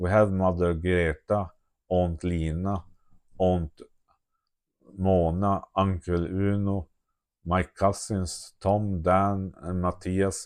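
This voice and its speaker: Against a quiet background, a man with a Swedish accent and a very deep, low pitch speaks at a very slow pace in a monotone, flat intonation, with long, frequent pauses. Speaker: video diarist. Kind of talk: reading aloud. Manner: halting.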